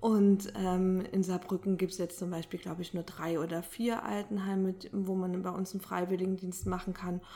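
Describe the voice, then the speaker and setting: A woman talks at a moderate pace with hardly any pauses. Her intonation is monotone and flat. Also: medium pitch for a woman. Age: 30s. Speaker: social sector statistics staff member. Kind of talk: interview. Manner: hesitant with filler sounds.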